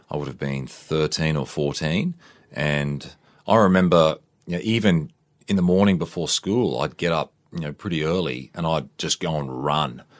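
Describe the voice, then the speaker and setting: Very deep and low in pitch, a man with an Australian accent talks at a moderate pace. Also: ordinary pitch variation. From Queensland, Australia. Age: 40s. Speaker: army veteran and fitness trainer. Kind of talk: interview. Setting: studio.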